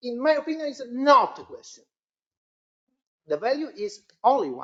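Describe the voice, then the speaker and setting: A woman with an Italian accent, high-pitched with lively intonation. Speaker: academic panelist. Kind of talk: seminar discussion. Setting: seminar with audience. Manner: halting.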